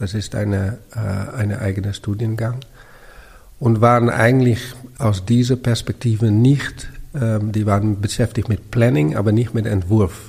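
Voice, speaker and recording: A man's fairly low-pitched voice, fairly even in intonation, at a fairly slow pace. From Netherlands, Amsterdam. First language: Dutch (speaking German). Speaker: architect and urban planner. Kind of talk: interview. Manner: halting, many fillers.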